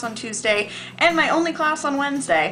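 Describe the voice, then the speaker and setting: Very wide swings in pitch from a woman, with music playing behind her. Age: 20s. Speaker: vlogger, theater student. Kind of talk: casual vlog storytelling. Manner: chatty, filler-heavy.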